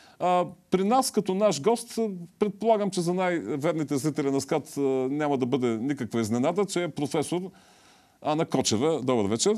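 A man speaks at a moderate pace in a dark, mellow tone, his pitch swinging very widely against a quiet background. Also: fairly high pitch for a man. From Bulgaria. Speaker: TV host and academic; TV show host. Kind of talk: TV talk show interview. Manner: halting, with filler sounds. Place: studio. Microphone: lapel.

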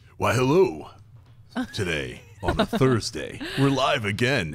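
In a put-on character voice, a man delivers his lines fairly slowly at a medium pitch. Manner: grand, theatrical.

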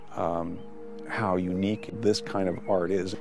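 A man speaks in a very deep, low voice with ordinary pitch variation, the sound dry with no echo and clear music playing behind him. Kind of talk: interview answer. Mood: calm, reflective. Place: garden.

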